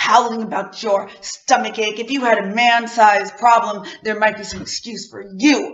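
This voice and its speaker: At a moderate pace and with hardly any pauses, a woman uses a put-on character voice that is husky and fairly high-pitched, with fairly even intonation. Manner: indignant, haughty.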